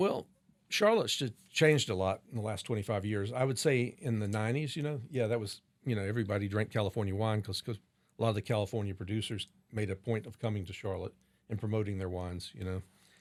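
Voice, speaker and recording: In an American accent, a man with a fairly low pitch talks very fast, his pitch varying in an ordinary way. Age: 60s. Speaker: wine shop and restaurant owner. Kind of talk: interview conversation.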